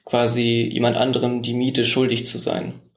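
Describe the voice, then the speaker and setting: A man's voice carries audible room echo. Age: 20s. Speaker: mayoral candidate. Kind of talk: interview. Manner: hesitant, many fillers.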